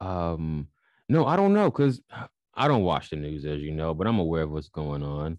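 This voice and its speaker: A voice with a Chicago accent at a moderate pace, ordinary pitch variation, and a quiet background. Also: man, very deep, low pitch for a man. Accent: Chicago American. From Chicago, US Midwest. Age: 20s. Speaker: spiritual podcast host and writer. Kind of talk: casual interview. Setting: video call.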